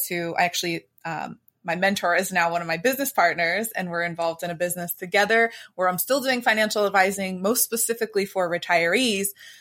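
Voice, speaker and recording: The recording is very clean with a silent background, carrying an ordinary speaking voice that goes at a fairly quick pace with ordinary pitch variation. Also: woman. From US, Pittsburgh area, Pennsylvania. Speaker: mindset coach and financial advisor. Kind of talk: podcast interview.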